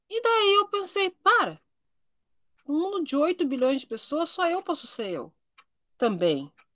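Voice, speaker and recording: A woman's extremely high, bright and sharp voice swings very widely in pitch, moving at a fairly slow pace with long, frequent pauses. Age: 40s. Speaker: writer and public servant. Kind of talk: casual interview chat.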